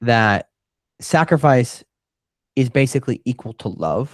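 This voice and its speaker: Medium-pitched man with an American accent and ordinary pitch variation, dry and close with no echo, on a very clean recording with a silent background. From rural Wisconsin, US Midwest. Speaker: entrepreneur. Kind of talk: podcast interview. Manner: fast.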